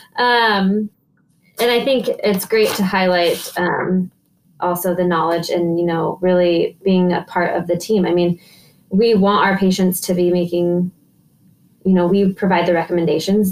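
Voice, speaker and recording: A woman talks in a normal speaking voice at medium pitch, keeping a moderate pace and fairly even intonation. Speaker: oncology social worker interviewer. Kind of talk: casual interview conversation.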